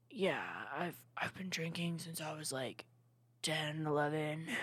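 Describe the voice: In a put-on character voice, a woman talks with a raspy, very deep, low pitch, a monotone, flat intonation and a fairly slow pace.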